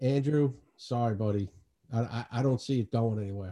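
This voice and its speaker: There's a dark, mellow tone to this man's voice, which has a New York accent. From New York City, Queens (Astoria). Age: 40s. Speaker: podcast host. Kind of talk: casual chat.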